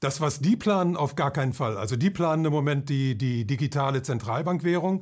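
On a very clean recording with a silent background, a man with a fairly high, somewhat breathy voice speaks at a fairly quick pace with ordinary pitch variation. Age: 70s. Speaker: author and financial commentator. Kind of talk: interview.

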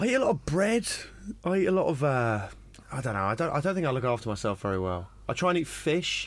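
On a very clean recording with a silent background, a man with a fairly high voice speaks at a very fast pace with very wide pitch swings. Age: 20s. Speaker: stand-up comedian. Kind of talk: casual chat.

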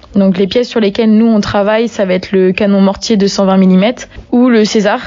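With noticeable background noise behind her, a woman talks in a medium pitch with monotone, flat intonation. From Brittany, France. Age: 20s. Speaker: army non-commissioned officer. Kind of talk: interview. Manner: hesitant, with frequent fillers.

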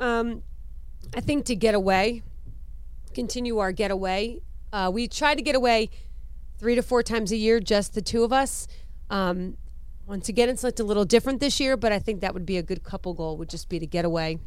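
Speaking at a fairly quick pace, a woman leaves long, frequent pauses. Her fairly high pitch varies in an ordinary way, and room echo is audible. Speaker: podcast co-host. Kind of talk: casual chat.

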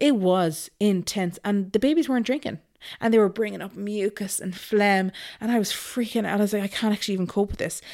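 With a western Irish accent, the speaker moves at a fairly quick pace in a very clean recording with a silent background. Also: woman, medium pitch for a woman, ordinary pitch variation. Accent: Irish (west of Ireland). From Ireland, Galway. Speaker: mother sharing birth story. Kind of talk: casual interview, personal story.

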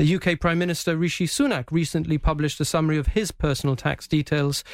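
At a very fast pace and with fairly even intonation, the voice comes through in a very clean recording with a silent background. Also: man. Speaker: radio presenter. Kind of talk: political interview. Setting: radio studio. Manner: calm.

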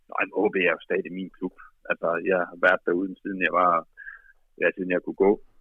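The pace is moderate, with long, frequent pauses. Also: man. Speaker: football coach. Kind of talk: interview. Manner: halting, many fillers.

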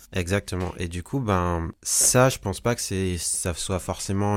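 We hear a man talking. His recording is very clean, and the background is silent. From French Guiana, then Paris. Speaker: singer-songwriter. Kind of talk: interview.

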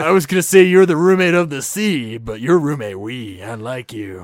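A man performs a put-on character voice. It sits at a fairly high pitch and moves at a moderate pace. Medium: actual play. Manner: laid-back surfer-dude slang, friendly.

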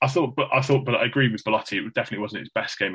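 Speaking at a very fast pace in an English Midlands accent, a man keeps his intonation fairly even. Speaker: football podcast co-host. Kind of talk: casual chat. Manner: monotone.

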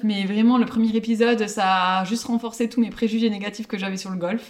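A woman with an ordinary speaking voice, fairly high in pitch, with fairly even intonation. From Pau, southwest France. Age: 30s. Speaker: guest. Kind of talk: casual chat.

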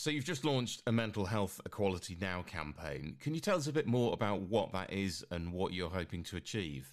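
A man's fairly low voice with very wide pitch swings, a fairly quick pace and hardly any pauses, on a very clean recording with a silent background. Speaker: radio host. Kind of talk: radio magazine presenting. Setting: studio.

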